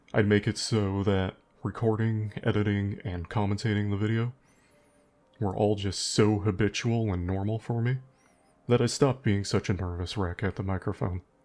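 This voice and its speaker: Over music in the background, a man talks with a fairly low pitch. His intonation stays fairly even. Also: moderate pace. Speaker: gaming YouTuber. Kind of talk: unscripted gameplay commentary. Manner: pauses often.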